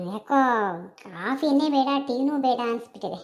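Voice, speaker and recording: At a very slow pace, a woman does a cartoonish character voice pitched high, with ordinary pitch variation. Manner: practical, brisk.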